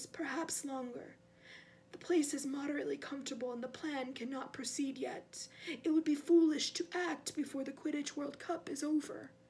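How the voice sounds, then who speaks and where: A woman's put-on character voice, high-pitched and at a moderate pace. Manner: cold, menacing.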